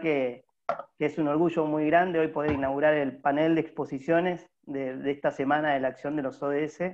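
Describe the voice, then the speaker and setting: A man talks at a fairly quick pace in a fairly high, flat monotone. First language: Spanish (speaking Portuguese). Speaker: network organizer. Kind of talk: panel opening speech.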